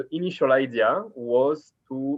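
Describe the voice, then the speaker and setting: In a French accent, a man speaks at a medium pitch. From France. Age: 30s. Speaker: startup founder. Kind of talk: interview. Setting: video call.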